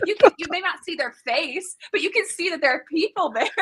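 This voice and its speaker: A woman talks loudly and at a fairly quick pace in an extremely high, animated voice, recorded with a dry, close sound and no echo. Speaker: developer advocate, conference keynote presenter. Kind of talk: casual chat. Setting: live video stream.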